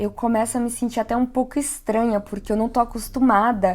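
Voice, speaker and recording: A fairly high-pitched woman's voice with monotone, flat intonation. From Brazil, São Paulo. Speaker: YouTuber. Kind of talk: vlog monologue.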